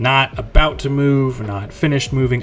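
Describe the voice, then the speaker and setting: Music in the background behind a man's moderate pace and ordinary pitch variation. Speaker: comic artist. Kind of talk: tutorial. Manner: laid-back.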